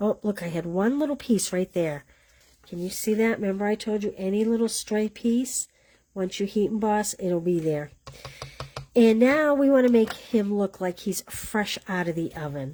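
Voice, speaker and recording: Her medium pitch carried by lively intonation, a woman speaks at a moderate pace. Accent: Boston. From Boston area, US. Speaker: paper crafting instructor. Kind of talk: live craft tutorial. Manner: casual, chatty.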